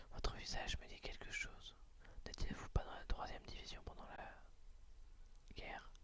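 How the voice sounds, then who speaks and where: Whispering at a moderate pace. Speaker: ASMR audiobook reader. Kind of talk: read story. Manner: whispered.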